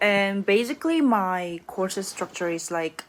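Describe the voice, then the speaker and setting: A woman with a Korean accent speaks at a moderate pace in a medium pitch, her intonation lively, on a very clean recording with a silent background. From South Korea. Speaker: graduate student. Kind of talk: casual vlog monologue. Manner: halting, many fillers and restarts.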